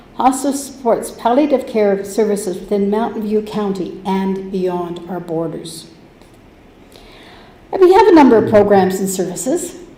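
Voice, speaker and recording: With a Canadian accent, a woman talks at a moderate pace and medium pitch, her intonation lively and audible room echo around her. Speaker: hospice society volunteer. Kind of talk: presentation to council. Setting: council chamber. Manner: loud.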